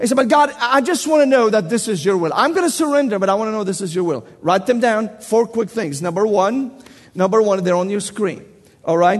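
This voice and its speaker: Here a man talks at a fairly quick pace with a high pitch. His tone is animated and his intonation lively. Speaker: preacher. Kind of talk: sermon. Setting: church.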